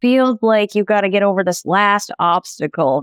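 In an ordinary speaking voice, a woman talks at a medium pitch and a fairly slow pace. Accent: American. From Montana. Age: 30s. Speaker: children's book author. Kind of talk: casual chat.

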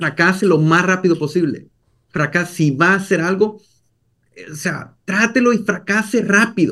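A man's high-pitched, bright, sharp voice at a moderate pace with ordinary pitch variation. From El Salvador. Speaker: entrepreneur. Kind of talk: interview.

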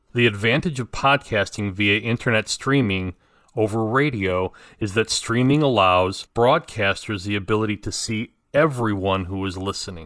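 Speech at a moderate pace with ordinary pitch variation, captured in a dry, close sound with no echo and a very clean recording with a silent background. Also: man. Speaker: podcaster and former talk radio host. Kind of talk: scripted monologue commentary. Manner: calm and quiet; measured, formal.

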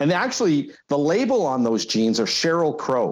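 A man with a Canadian accent and an unremarkable speaking voice talks at a fairly slow pace. His pitch is fairly high, and the recording is very clean with a silent background. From Alberta. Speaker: company president and former radio executive. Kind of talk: casual chat.

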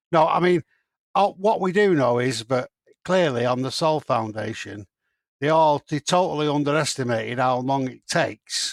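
With a British accent, a man speaks at a moderate pace and medium pitch, with ordinary pitch variation in a dry, close sound with no echo. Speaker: podcast co-host. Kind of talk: casual chat.

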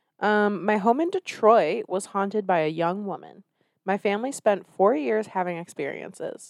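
With an ordinary speaking voice at medium pitch, a woman talks at a moderate pace with ordinary pitch variation, in a dry, close sound with no echo. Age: 30s. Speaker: podcast host. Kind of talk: casual banter comedy chat.

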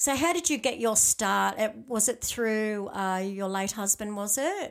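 In an Australian accent, a woman speaks at medium pitch. Her intonation is lively and her pace fairly slow. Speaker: podcast host. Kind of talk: interview.

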